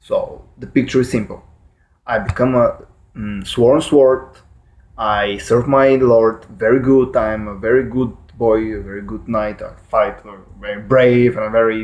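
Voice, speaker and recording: With a Bulgarian accent, a man at medium pitch talks at a fairly slow pace with fairly even intonation and big swings in loudness. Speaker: YouTuber explaining fictional lore. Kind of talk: casual explainer monologue. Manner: halting, many fillers and self-corrections.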